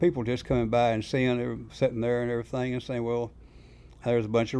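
Dark and mellow in tone, this man's voice rests at a medium pitch. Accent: Southern US. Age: 70s. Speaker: bait shop owner and fisherman. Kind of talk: casual interview storytelling.

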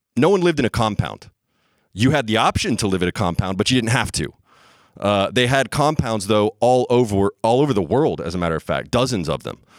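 Fairly quick and lively in intonation, a man with an ordinary speaking voice talks at a medium pitch on a very clean recording with a silent background and a dry, close sound with no echo. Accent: American. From US South (Bible Belt). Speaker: storyteller. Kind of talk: live storytelling. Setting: stage with audience.

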